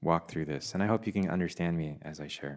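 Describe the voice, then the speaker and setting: Speaking with a Canadian accent, a man moves at a fairly quick pace. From Canada, Korean Canadian. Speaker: pastor. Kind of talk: sermon. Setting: church.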